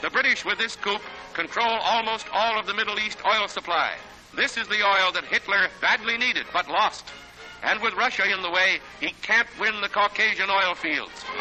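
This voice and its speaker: Music plays behind a man whose voice sits high in pitch. He talks at a moderate pace with fairly even intonation. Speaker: newsreel narrator. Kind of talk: newsreel narration.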